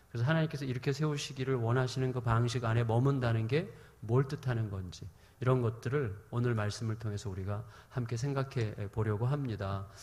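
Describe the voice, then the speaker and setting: A man speaks at a fairly quick pace in a medium pitch, with ordinary pitch variation and audible room echo around him. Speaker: preacher. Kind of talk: sermon. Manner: speeds up when heated.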